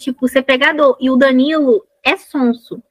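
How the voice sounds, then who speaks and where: Speaking at a fairly slow pace with fairly even intonation, a high-pitched woman sounds dry and close, with no echo. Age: 20s. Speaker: author and science teacher. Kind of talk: casual chat.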